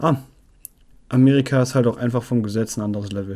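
With a dark, mellow tone, a man speaks at a medium pitch and ordinary pitch variation. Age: 20s. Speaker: podcast host. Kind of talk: casual solo monologue. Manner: animated. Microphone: new batteries and battery pack for the mic.

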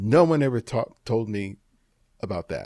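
With a Californian accent, a man speaks fairly slowly, the sound dry and close with no echo. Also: very clean recording, silent background. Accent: Californian American English. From Los Angeles (South LA), Dominican family. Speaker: street photographer and teacher. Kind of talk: interview conversation.

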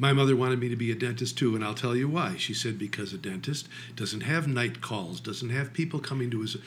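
A man talking very fast, somewhat breathy. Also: medium pitch for a man, ordinary pitch variation. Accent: American. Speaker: podcast host. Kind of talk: interview. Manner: animated.

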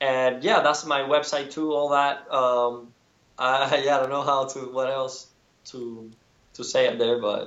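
A man with a Spanish accent, fairly high pitch and fairly even intonation, at a fairly slow pace. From Cuba. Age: 30s. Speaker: painter. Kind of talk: interview. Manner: halting, many repetitions.

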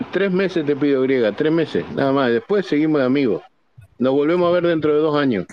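This man has a plain, everyday voice, fairly high in pitch with ordinary pitch variation. He talks at a fairly quick pace with very even loudness. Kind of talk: casual chat.

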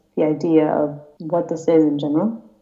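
A woman with a fairly low, dark, mellow voice speaks amid audible room echo. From US Midwest, Woodstock, Illinois. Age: young. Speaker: exchange student. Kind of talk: casual interview. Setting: Skype call. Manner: fast.

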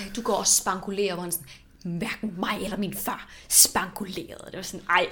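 The intonation here is fairly even. It is plain reading aloud.

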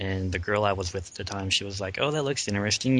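The clip has an ordinary speaking voice, and its pitch varies in an ordinary way. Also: man. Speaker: podcast co-host. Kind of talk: casual group chat about pop culture.

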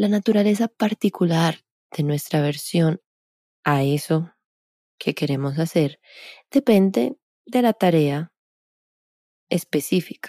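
A woman's fairly low, dark, mellow voice at a very slow pace with long, frequent pauses, lively intonation and very even loudness, in a dry, close sound with no echo. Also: very clean recording, silent background. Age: 30s. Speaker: podcast host and movement coach. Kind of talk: solo podcast talk.

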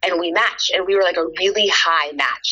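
Fairly quick speech from a woman with an American accent, with noticeable background noise. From Texas. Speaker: TV shopping host and athlete. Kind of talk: interview. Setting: studio.

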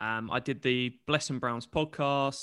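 Spoken at a fairly slow pace with fairly even intonation in a British accent, the voice is recorded very cleanly with a silent background and a dry, close sound without echo. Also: man. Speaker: podcast co-host. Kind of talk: casual chat.

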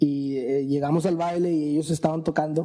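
This man has a normal speaking voice. His pitch sits fairly high. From Mexican-born, raised in the US from age 4. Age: 30s. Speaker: musician and entrepreneur. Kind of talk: casual chat over drinks.

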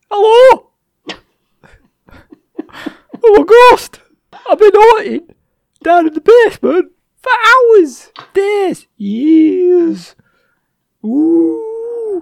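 A put-on character voice at an extremely high pitch, at a very slow pace with long, frequent pauses. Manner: spooky, eerie, playful.

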